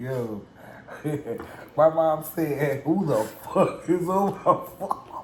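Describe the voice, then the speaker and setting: A man's fairly high voice, very slow, with lively intonation, long and frequent pauses, big swings in loudness, and noticeable background noise. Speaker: cooking vlogger. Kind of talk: casual chat.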